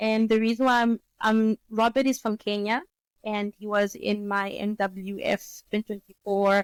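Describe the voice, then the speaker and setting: A woman's medium-pitched voice in a monotone, flat intonation. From Namibia. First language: Oshiwambo. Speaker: economist and business consultant. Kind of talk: interview.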